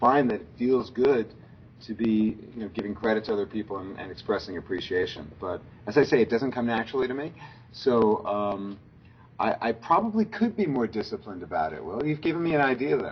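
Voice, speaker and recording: This man's voice has some breathiness to it. He moves along fairly quickly, his intonation lively. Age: 60s. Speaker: business school professor. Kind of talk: interview. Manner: halting.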